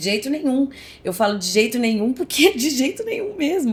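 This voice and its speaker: A woman is speaking. Her pace is very fast. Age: 40s. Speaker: actress. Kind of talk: podcast interview, personal story.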